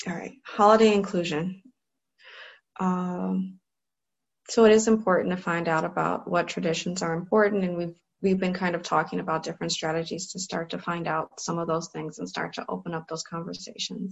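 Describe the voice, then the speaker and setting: A somewhat breathy woman with an American accent, fairly even intonation and a fairly quick pace. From US Midwest, Cleveland, Ohio. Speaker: clinical psychologist. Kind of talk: online training lecture.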